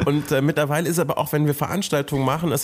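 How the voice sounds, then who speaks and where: With ordinary pitch variation, a man's voice sits fairly high. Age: 30s. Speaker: content creator. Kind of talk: casual chat.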